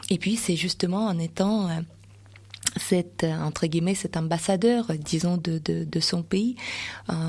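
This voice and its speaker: Someone with a Russian accent speaks at a fairly slow pace with ordinary pitch variation. Long, frequent pauses break up the delivery. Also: woman, fairly low pitch for a woman. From Russia, Voronezh. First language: Russian (speaking French). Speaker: association president and Russian teacher. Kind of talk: radio interview. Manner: hesitant, many fillers.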